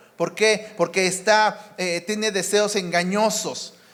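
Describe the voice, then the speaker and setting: Over noticeable background noise, a man speaks very slowly. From Mexico City area. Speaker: preacher. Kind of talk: sermon.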